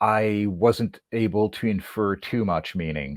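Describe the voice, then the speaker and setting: Captured in a very clean recording with a silent background, a man speaks in a fairly low pitch. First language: French. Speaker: whip maker. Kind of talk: casual chat. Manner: halting.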